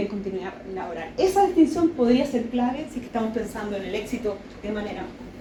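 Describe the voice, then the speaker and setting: Someone talks at a fairly quick pace amid audible room echo and noticeable background noise. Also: woman. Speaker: sociology researcher. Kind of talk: academic lecture. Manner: fast.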